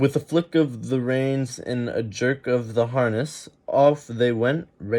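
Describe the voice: Reading aloud in a plain way. Nothing more is measured here.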